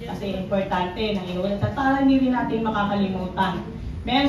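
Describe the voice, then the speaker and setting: A woman talks amid audible room echo and noticeable background noise. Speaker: pastor. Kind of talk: sermon.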